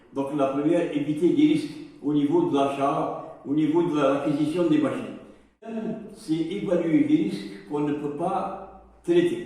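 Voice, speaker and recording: A man at fairly high pitch and fairly slow pace, with ordinary pitch variation, audible room echo and noticeable background noise. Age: 70s. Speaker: safety trainer. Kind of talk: lecture. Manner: halting, many hesitations.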